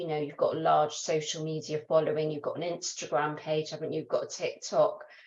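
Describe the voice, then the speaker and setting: Hardly pausing at all, a woman speaks at a fairly quick pace. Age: 50s. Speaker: fitness coach. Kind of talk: interviewer talk.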